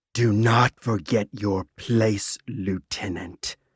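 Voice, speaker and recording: A man's put-on character voice at a fairly low pitch, growling and hissing at a very slow pace. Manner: hissing, menacing.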